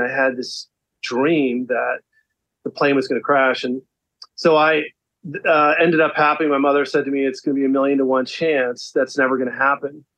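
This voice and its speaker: This man has an American accent and a fairly high pitch. He talks at a fairly quick pace with fairly even intonation. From South Florida, US. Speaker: beverage entrepreneur. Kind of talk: interview conversation.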